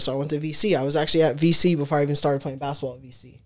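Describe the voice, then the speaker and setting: This woman has a very deep, low pitch and an American accent. She talks at a very fast pace with fairly even intonation. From Los Angeles, Westchester. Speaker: former basketball player. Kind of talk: interview.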